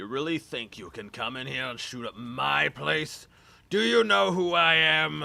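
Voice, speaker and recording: Raspy and put-on, a man's character voice swings very widely in pitch. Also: medium pitch for a man, moderate pace. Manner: manic.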